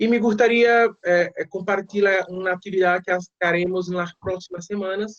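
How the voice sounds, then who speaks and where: Speaking at a moderate pace, a man has a high pitch and a Portuguese accent. His delivery is flat and monotone. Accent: Portuguese-accented non-fluent Spanish. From Brazil. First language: Portuguese (speaking Spanish). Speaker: postdoctoral researcher. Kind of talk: online meeting. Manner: halting.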